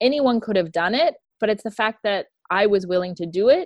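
A woman with an unremarkable speaking voice talks at a moderate pace and medium pitch, the sound dry and close with no echo against a quiet background. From Tennessee, US South. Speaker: executive director of an advocacy foundation. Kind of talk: interview testimony.

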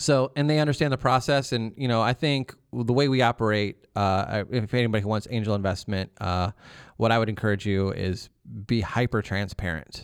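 In a very clean recording with a silent background and a dry, close sound with no echo, a man with an American accent and a plain, everyday voice talks at a moderate pace and medium pitch with ordinary pitch variation. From northern Ohio, Milan/Sandusky area. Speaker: founder of a music industry career school. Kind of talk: interview. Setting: recording studio.

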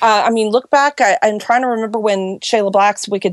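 With a plain, everyday voice, a woman speaks at a fairly high pitch with ordinary pitch variation, heard in a dry, close sound with no echo. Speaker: romance author. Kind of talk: interview, casual chat. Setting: video call from closet.

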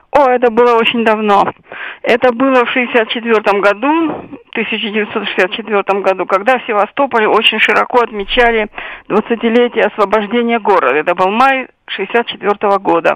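This woman has a normal speaking voice, pitched fairly high, with ordinary pitch variation. She talks at a fairly slow pace. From Sevastopol, Crimea. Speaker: writer and military historian. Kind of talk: interview.

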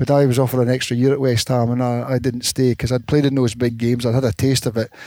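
Speaking very fast with a Scottish accent, a man at medium pitch has a dark, mellow tone and fairly even intonation. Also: very clean recording, silent background. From north of Scotland. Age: 60s. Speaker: former footballer and coach. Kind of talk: interview. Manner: halting.

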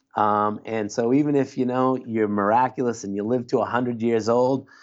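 The speaker has an unremarkable speaking voice and moves at a fairly quick pace. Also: man. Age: 50s. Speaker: clinical social worker. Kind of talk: interview conversation. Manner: casual.

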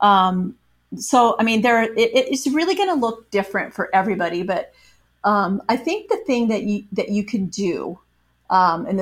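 The speaker has an American accent. The voice comes across as somewhat breathy. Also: woman. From US Midwest, Iowa. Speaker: author and former news reporter. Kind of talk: interview. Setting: video call.

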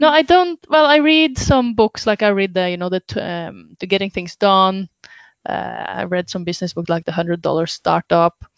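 A woman speaks in a Norwegian accent at a medium pitch. Her pitch swings very widely, and her pace is moderate. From Norway. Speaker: web designer and business consultant. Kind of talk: interview.

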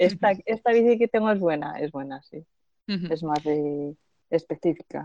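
Speaking fairly slowly with long, frequent pauses, a woman uses a fairly low voice with a dark, mellow tone and lively intonation, recorded with a dry, close sound with no echo. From Spain, Zaragoza. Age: 30s. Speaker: long-distance bicycle traveller. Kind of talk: interview. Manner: halting, frequent word repetitions.

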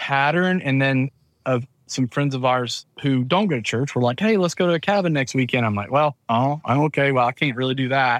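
A man's medium-pitched voice with a Southern US accent, at a fairly quick pace with ordinary pitch variation, on a very clean recording with a silent background and a dry, close sound with no echo. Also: very even loudness. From US South, Georgia. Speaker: church video production business manager, former church tech director. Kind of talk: casual interview chat.

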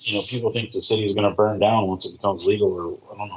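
Breathing somewhat audibly, a man with a fairly low pitch rushes along at a very fast pace in a flat monotone. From Indiana. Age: 40s. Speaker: bartender. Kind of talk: casual chat. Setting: video call.

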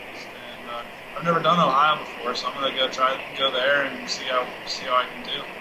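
A man with an American accent talks at a fairly quick pace in a flat monotone, his loudness swinging widely over noticeable background noise. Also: medium pitch for a man. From Colorado. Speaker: off-road racer. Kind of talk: interview.

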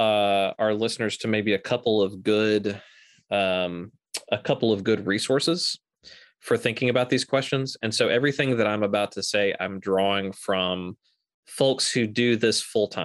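A man speaks in a plain, everyday voice at medium pitch and a moderate pace, with ordinary pitch variation. The sound is dry and close with no echo, over a quiet background. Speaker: theology professor. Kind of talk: interview.

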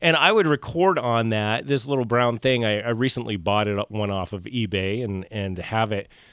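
Speaking with an American accent, a man uses a plain, everyday voice at medium pitch and a moderate pace, with ordinary pitch variation, hardly any pauses, and a very clean recording with a silent background. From Idaho. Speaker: art licensing businessman and podcast producer. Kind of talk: casual chat. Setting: studio.

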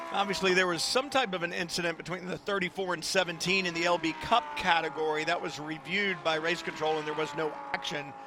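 This man talks at a fairly quick clip with hardly any pauses, his voice high and animated with ordinary pitch variation. Noticeable background noise runs underneath. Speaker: race commentator. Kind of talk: live race commentary. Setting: trackside at race. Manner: animated, brisk play-by-play delivery.

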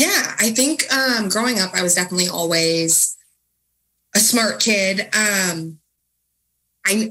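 Lively intonation carries a bright, sharp tone. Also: woman. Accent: Midwestern US. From Kansas City area, Missouri. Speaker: accountant. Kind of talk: radio interview.

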